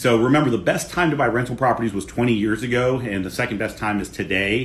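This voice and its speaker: A man with an American accent rattles along at a very fast pace, his pitch varying in an ordinary way, while noticeable background noise carries on behind him. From US Midwest, Ohio. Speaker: real estate coach. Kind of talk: live stream Q&A. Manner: loud.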